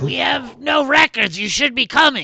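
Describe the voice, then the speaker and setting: A man puts on a raspy character voice, raised and projected, pitched extremely high. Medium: actual play. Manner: formal, officious.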